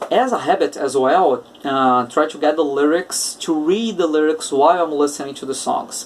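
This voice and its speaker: A man speaks at a moderate pace with a Portuguese accent. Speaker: English teacher. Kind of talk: podcast monologue.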